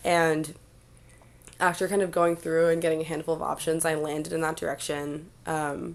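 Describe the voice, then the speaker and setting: A woman with a very deep, low pitch and an American accent, monotone and flat, at a moderate pace. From New York. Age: 20s. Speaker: singer-songwriter. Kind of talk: interview conversation.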